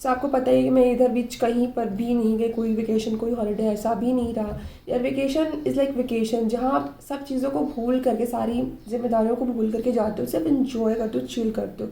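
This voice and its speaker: A woman talks at a moderate speed, her pitch varying in an ordinary way, with noticeable noise behind her and audible echo from the room. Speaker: mommy vlogger. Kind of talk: casual vlog monologue. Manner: conversational, frequent fillers.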